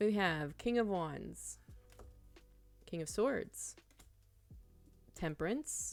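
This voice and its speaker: Over music in the background, a woman with an American accent speaks at a very slow pace. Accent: southern accent when mad. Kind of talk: tarot reading monologue. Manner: animated.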